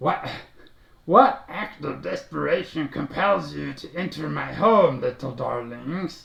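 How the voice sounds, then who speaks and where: At a fairly slow pace, a man uses a put-on character voice pitched fairly high. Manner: sinister, addressing intruders.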